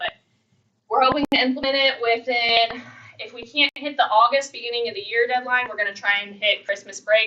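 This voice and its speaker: Her loudness swinging widely, a woman talks at a fairly high pitch with ordinary pitch variation. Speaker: school resource officer. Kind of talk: presentation. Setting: board meeting. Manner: fast.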